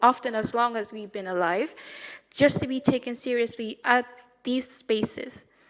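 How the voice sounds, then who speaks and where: A woman's high voice, fairly quick in pace, with fairly even intonation. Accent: non-native. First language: not English. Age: young. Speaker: youth advocate. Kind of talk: panel speech.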